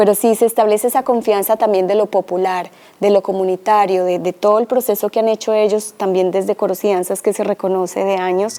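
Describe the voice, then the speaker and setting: A woman with a Colombian accent and a dark, mellow tone speaks at a fairly quick pace in a monotone, flat intonation with hardly any pauses, recorded with a dry, close sound and no echo. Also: medium pitch for a woman. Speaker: cultural heritage researcher. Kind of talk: presentation talk.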